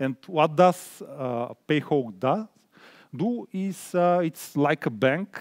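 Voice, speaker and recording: With a Bulgarian accent, a man speaks at a fairly high pitch and a very slow pace, his intonation lively, in a dry, close recording with no echo. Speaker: product designer. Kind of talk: conference talk. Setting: stage with audience. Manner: halting, many fillers.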